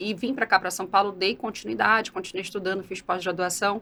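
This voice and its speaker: A woman talks with a bright, sharp tone. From Brazil, Belém (Pará). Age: 40s. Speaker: entrepreneur. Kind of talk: interview conversation.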